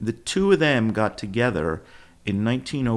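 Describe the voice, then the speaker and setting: A man speaks with a Philadelphia accent. The recording is very clean, with a silent background. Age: 70s. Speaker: company founder, former sportswear business owner. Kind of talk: podcast interview.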